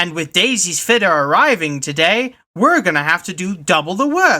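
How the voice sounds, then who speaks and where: Put on as a character voice at a middle pitch, the speech moves at a moderate pace in a very clean recording with a silent background. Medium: read story. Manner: plain, practical.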